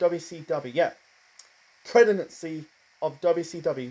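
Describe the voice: This man's voice has a fairly high pitch and a dark, mellow tone.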